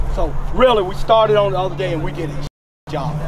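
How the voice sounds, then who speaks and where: Lively intonation from a man at a fairly quick pace, dry with no echo, crowd noise in the background. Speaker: football coach. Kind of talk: coaching instruction. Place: open country. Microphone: camera far.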